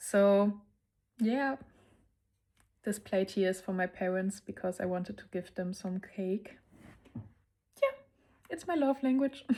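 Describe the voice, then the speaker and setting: A German accent at a fairly slow pace, with long, frequent pauses and ordinary pitch variation. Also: woman, medium pitch for a woman. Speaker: lifestyle vlogger. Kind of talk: casual vlog narration.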